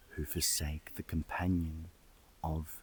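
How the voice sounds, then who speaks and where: The voice is soft-spoken and somewhat breathy. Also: man. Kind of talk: scripture reading. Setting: outdoors.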